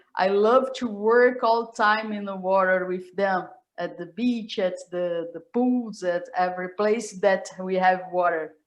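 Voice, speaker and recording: A woman speaks very slowly in a Brazilian Portuguese accent. Her pitch is medium and her intonation fairly even. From Brazil, Rio de Janeiro. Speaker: professor. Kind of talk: casual chat. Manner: halting.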